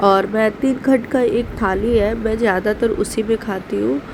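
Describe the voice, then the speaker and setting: A woman's fairly high voice, fairly slow and fairly even in intonation, over noticeable background noise. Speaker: vlogger, housewife. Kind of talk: casual vlog narration. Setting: at home.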